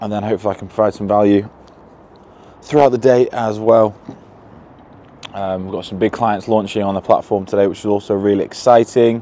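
A man talks at a moderate pace in a flat, monotone intonation, the sound dry with no echo. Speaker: fitness business coach vlogger. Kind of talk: casual vlog chat. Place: street. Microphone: lapel.

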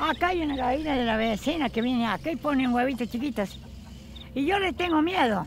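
Lively and high-pitched, a woman talks at a fairly quick pace with very even loudness in a dry sound with no echo and light background noise. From Chuña, Córdoba, Argentina. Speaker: rural storyteller. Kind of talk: interview answer, folk tale telling. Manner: serious. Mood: earnest, cautious, storytelling. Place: garden.

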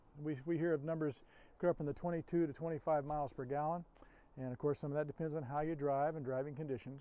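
Very fast speech with fairly even intonation comes through as a dry sound with no echo. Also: man. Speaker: RV salesperson. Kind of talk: product walkaround presentation. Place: street.

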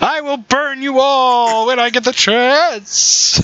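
A put-on character voice sits at a high pitch. Its delivery is very slow. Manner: furious, threatening.

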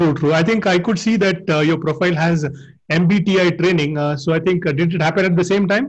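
Over a quiet background, a man with a high pitch speaks with very even loudness and fairly even intonation. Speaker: interviewer. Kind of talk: interview. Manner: halting. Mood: friendly, smiling. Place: office.

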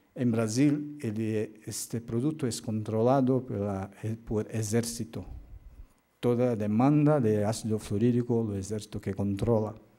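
A man talks at a fairly slow pace with a Portuguese accent. His intonation stays fairly even. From Brazil. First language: Portuguese (speaking Spanish). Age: 50s. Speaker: occupational medicine doctor and professor; physician lecturer. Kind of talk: lecture. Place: hall.

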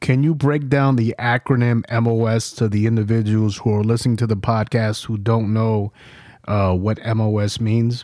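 A man's dark, mellow, medium-pitched voice with fairly even intonation and very even loudness. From New York. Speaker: podcast host and Marine veteran. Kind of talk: casual interview and war storytelling.

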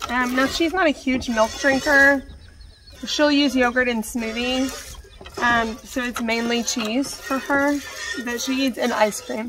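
A high-pitched woman at a fairly slow pace with fairly even intonation, over noticeable background noise. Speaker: homesteader, small farmer. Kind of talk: casual vlog chat. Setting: outdoors, milking a cow in the barn. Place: farm machine. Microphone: earbuds.

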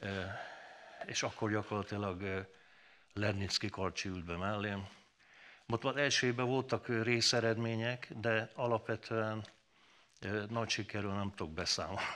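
A man with a fairly low pitch and a bright, sharp tone speaks at a fairly slow pace, leaving long, frequent pauses. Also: fairly even intonation. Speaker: former rally driver; talk show guest. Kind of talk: talk show interview. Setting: studio. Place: studio.

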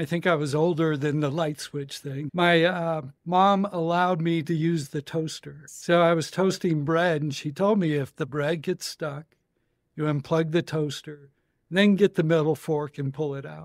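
At a moderate pace, a man with an American accent speaks in an ordinary speaking voice with a fairly high pitch. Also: very clean recording, silent background. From Colorado, US. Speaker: electronics engineer. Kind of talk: interview.

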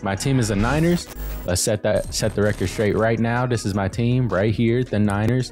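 Clear music plays behind a man who keeps a moderate pace. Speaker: sports content creator. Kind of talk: casual commentary. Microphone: studio mic.

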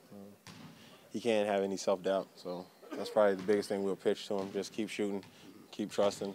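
A man talks fairly quickly at a fairly low pitch, his intonation flat and monotone. Long, frequent pauses break up his speech over light background noise. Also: big swings in loudness, dry sound with no echo. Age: 20s. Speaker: basketball player. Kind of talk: press interview. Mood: relaxed, upbeat. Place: hall.

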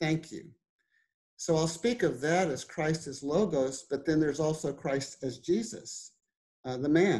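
Against a quiet background, a man with a fairly high pitch and a dark, mellow tone speaks at a fairly slow pace with ordinary pitch variation. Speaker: website editor and interviewer. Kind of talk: interview question. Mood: warm, grateful. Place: home room. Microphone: video call.

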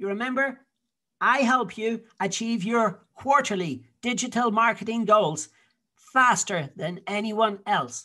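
A man with a Dublin accent uses a raised, projected voice, high in pitch with a bright, sharp tone and ordinary pitch variation. He speaks at a very slow pace over a quiet background. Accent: Dublin Irish. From Ireland, Dublin. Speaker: digital marketing consultant. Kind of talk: sales pitch.

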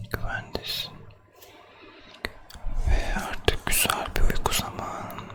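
A man whispers in a soothing tone at a very slow pace. Background noise is noticeable. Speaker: ASMR creator. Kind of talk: ASMR sleep roleplay, soothing talk to the listener. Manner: whispered, soft, slow, soothing.

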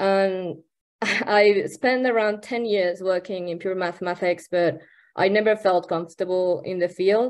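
A woman talks with fairly even intonation at a moderate pace, the background quiet. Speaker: presenter. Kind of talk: talk to a remote workshop audience. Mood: friendly, slightly self-conscious. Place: home room. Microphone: video call.

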